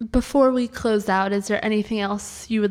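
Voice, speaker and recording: A woman's medium-pitched voice with fairly even intonation and noticeable background noise. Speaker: church podcast host. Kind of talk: interview conversation. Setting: church in New York City.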